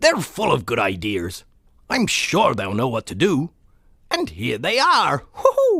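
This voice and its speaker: Here a man performs a put-on character voice. He goes at a fairly slow pace. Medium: read story. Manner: hearty, jovial.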